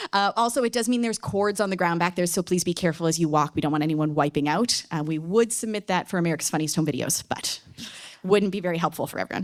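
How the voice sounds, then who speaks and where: Talking at a very fast pace, a woman with a Newfoundland accent has a fairly low pitch. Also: ordinary pitch variation. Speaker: debate moderator. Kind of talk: moderating a public debate. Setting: stage with audience.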